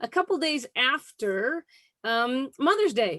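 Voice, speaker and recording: A woman with a high pitch is heard in a very clean recording with a silent background. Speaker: online community host. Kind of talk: show host introduction.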